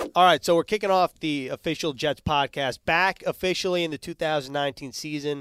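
A man talks in a normal speaking voice, fairly high in pitch with ordinary pitch variation, at a fairly quick pace with hardly any pauses. The sound is dry and close with no echo, on a very clean recording with a silent background. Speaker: team reporter, podcast host. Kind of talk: podcast interview.

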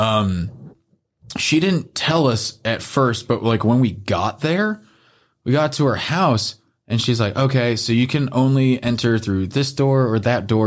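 A man's plain, everyday voice with an American accent, at a moderate pace and with ordinary pitch variation, in a very clean recording with a silent background. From northern US. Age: 30s. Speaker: podcast guest. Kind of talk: casual chat.

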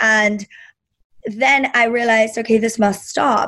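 Her pitch is fairly high. The woman's voice is somewhat breathy. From Germany (Berlin). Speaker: business coach. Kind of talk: interview conversation.

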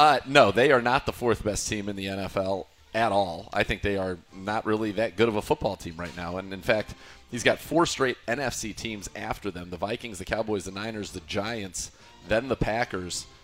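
Over music in the background, a man with a fairly low voice talks at a moderate pace, his pitch varying in an ordinary way while his loudness swings a lot. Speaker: radio host. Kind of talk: casual sports talk.

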